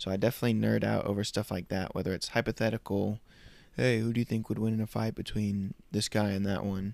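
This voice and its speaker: The speech comes at a very fast pace with a dry, close sound and no echo. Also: man. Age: 20s. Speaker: podcast host. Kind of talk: casual monologue; gospel presentation. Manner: casual with fillers.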